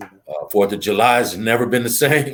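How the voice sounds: At a moderate pace, a man talks in a fairly low pitch with a fairly bright tone and ordinary pitch variation.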